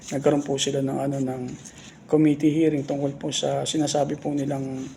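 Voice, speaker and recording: A soft-spoken man talks at a fairly quick pace in a monotone, flat way, with noticeable background noise and audible room echo. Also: fairly high pitch for a man. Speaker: political commentary vlogger. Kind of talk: casual political commentary. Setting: office. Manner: halting.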